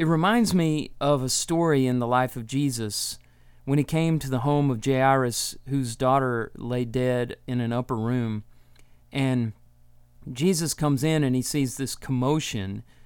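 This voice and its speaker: A man with an American accent and a plain, everyday voice, ordinary pitch variation, in a very clean recording with a silent background. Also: medium pitch for a man, fairly slow pace. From Texas. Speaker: Bible teaching podcast host. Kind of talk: solo Bible teaching talk.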